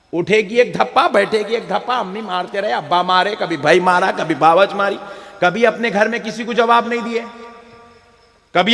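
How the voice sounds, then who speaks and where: A man's raised, projected voice, animated in tone, with ordinary pitch variation over noticeable background noise. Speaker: Islamic preacher giving a sermon. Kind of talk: funny religious sermon to an audience. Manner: humorous, animated, preachy.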